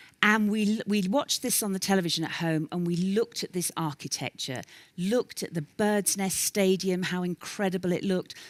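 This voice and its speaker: Speaking with a London accent, a woman at medium pitch keeps a fairly quick pace and ordinary pitch variation. The recording is very clean with a silent background, and the sound is dry and close with no echo. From London, England. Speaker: professional speaker. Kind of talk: keynote talk. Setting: stage with audience.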